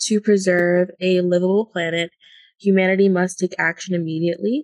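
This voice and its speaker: The sound is dry and close, with no echo. An ordinary speaking voice moves at a moderate pace with fairly even intonation. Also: woman. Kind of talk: casual chat.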